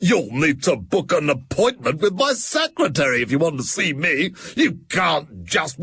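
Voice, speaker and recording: A man's put-on character voice, fairly high in pitch with very wide pitch swings, at a moderate pace with very even loudness and hardly any pauses. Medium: read story. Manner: stammering, blustering.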